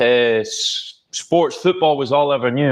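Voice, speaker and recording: A man speaks at a fairly quick pace and a medium pitch in a Scottish accent. His tone is energetic and his intonation lively. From Scotland. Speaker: holiday lighting business owner. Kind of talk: podcast interview.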